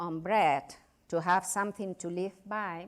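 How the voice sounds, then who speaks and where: Speaking at a very slow pace, a woman keeps her intonation fairly even in a Spanish accent. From Spain. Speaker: novelist and journalist. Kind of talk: lecture. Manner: halting.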